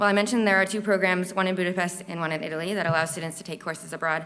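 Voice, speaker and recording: A woman with an American accent, medium pitch and a bright, sharp tone. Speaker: university student. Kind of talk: speech. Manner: stuttering.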